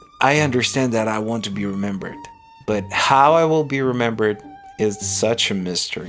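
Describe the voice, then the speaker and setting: Over music in the background, a man with a Ukrainian accent speaks fairly slowly at a fairly low pitch with ordinary pitch variation. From Ukraine. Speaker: stand-up comedian, podcast host. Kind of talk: unscripted podcast monologue. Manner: introspective, rambling.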